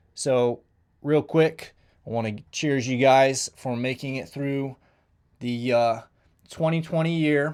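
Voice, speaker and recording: Speaking fairly slowly in an American accent, a man with a medium pitch and ordinary pitch variation is heard on a very clean recording with a silent background. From Kansas, US Midwest. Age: 30s. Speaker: sheriff deputy and combat veteran. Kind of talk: personal testimony monologue. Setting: live stream. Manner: casual, hesitant with fillers.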